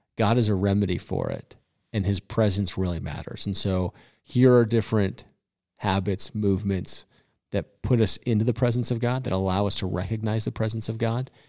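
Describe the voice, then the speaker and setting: A man with a plain, everyday voice speaks at a fairly quick pace, with a fairly low pitch and fairly even intonation, in an American accent. The recording is very clean, with a silent background. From Colorado. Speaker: pastor. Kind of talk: casual chat. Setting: studio.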